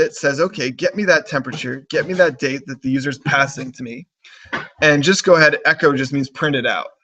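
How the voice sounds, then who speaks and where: Fairly high-pitched male voice, bright and sharp in tone, at a fairly quick pace. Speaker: programming instructor. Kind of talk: online lecture. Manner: repetitive false starts.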